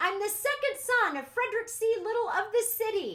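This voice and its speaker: This is a put-on character voice, squeaky and extremely high. It moves at a moderate pace. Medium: read story. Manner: crisp, bold.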